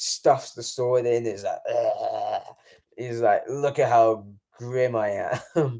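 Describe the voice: Against a quiet background, the text is given as plain reading aloud.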